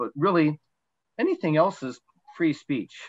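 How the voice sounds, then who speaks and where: Dry sound with no echo from a man, quiet background behind. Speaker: presenter. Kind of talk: slide presentation talk. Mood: relaxed, conversational. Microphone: video call.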